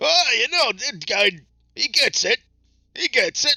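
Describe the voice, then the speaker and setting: A man's put-on character voice at an extremely high pitch, delivered at a fairly slow pace. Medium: actual play. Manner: blunt, friendly, easygoing.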